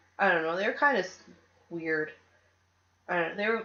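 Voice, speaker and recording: A woman speaks loudly with ordinary pitch variation. Her tone is bright and sharp. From Canada, Toronto. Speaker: podcast host. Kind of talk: casual chat. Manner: animated.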